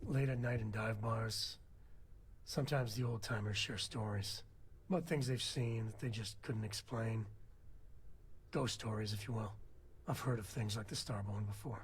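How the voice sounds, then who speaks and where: Over clear background noise, a man does a raspy, put-on character voice at a medium pitch and moderate pace, with long, frequent pauses. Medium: video game. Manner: folksy, relaxed.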